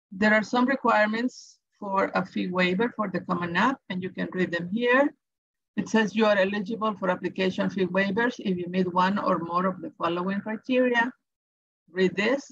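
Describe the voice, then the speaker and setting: A woman with a Salvadoran accent at a moderate pace, with ordinary pitch variation. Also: medium pitch for a woman. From El Salvador. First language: Spanish. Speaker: education advisor. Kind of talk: tutorial. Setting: webinar.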